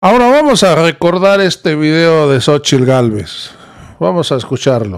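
Very even loudness and an animated tone, with very wide pitch swings, a fairly slow pace and a quiet background. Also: man, fairly high pitch for a man. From Mexico. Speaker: political news commentator. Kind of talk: political commentary. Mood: critical, indignant. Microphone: studio mic.

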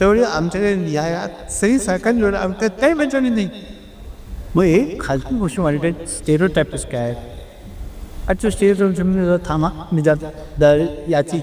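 Against noticeable background noise, a man talks in a high pitch with lively intonation. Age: 80s+. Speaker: spiritual guru. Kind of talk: satsang Q&A talk. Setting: hall with audience.

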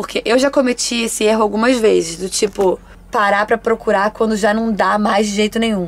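Her intonation is fairly even. The woman moves along at a fairly quick pace. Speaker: travel vlogger living in a bus. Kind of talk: casual vlog chat. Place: bus. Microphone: phone near.

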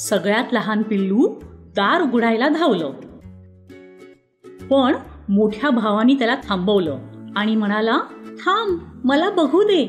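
A woman's fairly high voice with very wide pitch swings and very even loudness, music in the background. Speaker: voice over artist. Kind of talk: children's bedtime story narration.

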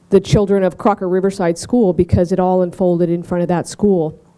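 A woman talks at a very fast pace. Her intonation is monotone and flat against a quiet background. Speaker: event host. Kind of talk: ceremony speech. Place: hall.

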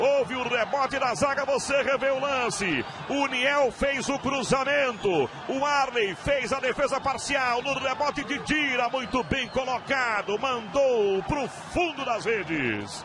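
A man's raised, projected voice at an extremely high pitch, animated in tone, with hardly any pauses and noticeable background noise. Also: ordinary pitch variation, fairly slow pace. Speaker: football commentator. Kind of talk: live sports commentary. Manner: animated, emphatic goal calls.

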